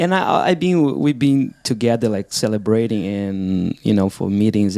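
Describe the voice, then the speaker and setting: Over music in the background, a man with a non-native accent speaks in a fairly low voice with lively intonation. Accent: foreign. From outside the US. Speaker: podcast co-host. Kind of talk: casual chat.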